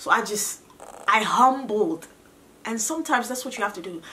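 This is a woman with an American accent. Light background noise sits behind her. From US, Ghanaian parents. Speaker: vlogger. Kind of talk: testimony. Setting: home video recording. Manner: animated. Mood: earnest, emotional, grateful. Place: home room.

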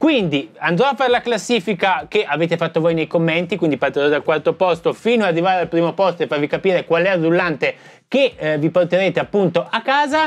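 This man's high-pitched voice moves at a very fast pace with lively intonation. His loudness stays very even throughout. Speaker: drum YouTuber. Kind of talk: casual video presentation to viewers.

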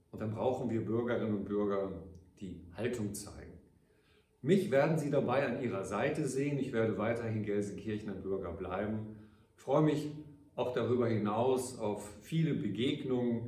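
A man talks with ordinary pitch variation, and audible echo fills the room around him. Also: moderate pace. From Ruhr area, Germany (Gelsenkirchen); Germany. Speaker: mayor. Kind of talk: farewell address to citizens. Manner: formal. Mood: warm, grateful, measured. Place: office.

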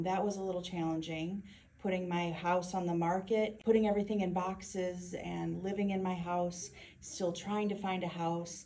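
A woman's dark, mellow tone with ordinary pitch variation. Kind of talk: testimonial interview answer. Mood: proud and earnest. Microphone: phone near.

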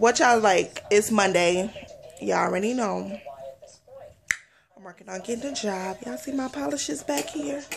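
Vocal fry and a slightly husky edge in a playful tone, at a fairly slow pace with ordinary pitch variation. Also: woman, medium pitch for a woman.

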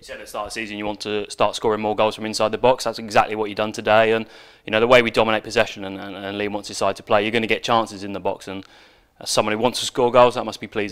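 A man speaks at a very fast pace, his pitch fairly low and barely moving. His tone is clear, smooth and fairly bright.

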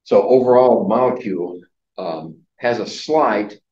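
A man talks with ordinary pitch variation. There is audible echo in the room. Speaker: college chemistry instructor. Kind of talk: lecture. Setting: classroom. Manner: halting, many filler words. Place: classroom.

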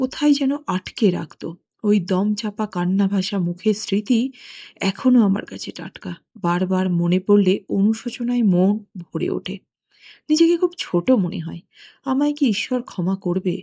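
Medium in pitch and somewhat breathy, a woman speaks with lively intonation. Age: 60s. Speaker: anonymous listener confessing. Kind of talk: recorded confession testimony.

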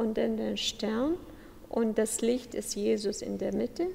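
At a fairly slow pace, a woman talks with vocal fry and a fairly high pitch. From Iraq. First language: Aramaic/Chaldean or Arabic (speaking German). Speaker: church subdeacon. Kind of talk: interview. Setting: church.

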